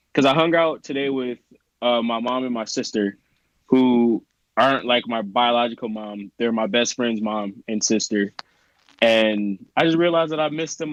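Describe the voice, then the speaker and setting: Recorded with a dry, close sound and no echo, a man with a plain, everyday voice talks at a moderate pace, his pitch medium with ordinary variation. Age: 30s. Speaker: podcast co-host. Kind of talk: casual chat.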